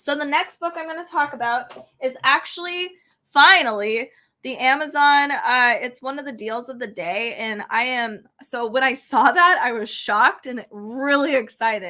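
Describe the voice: A woman with a high, bright, sharp voice speaks at a fairly slow pace, with ordinary pitch variation.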